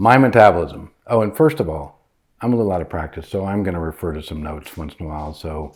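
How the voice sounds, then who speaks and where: Speaking at a very fast pace, a man with a very deep, low pitch shows big swings in loudness. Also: ordinary pitch variation. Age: 60s. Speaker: doctor, spouse of host. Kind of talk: casual explanatory chat. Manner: hesitant, filler words.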